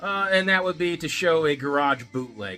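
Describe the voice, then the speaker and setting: A man's voice over music in the background. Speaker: vinyl collector YouTuber. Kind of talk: casual video monologue. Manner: fast; casual with many fillers.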